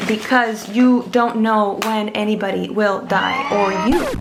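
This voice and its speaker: A woman at a very slow pace, with audible room echo and noticeable background noise. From Mexico. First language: Spanish. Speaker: vlogger. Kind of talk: casual vlog.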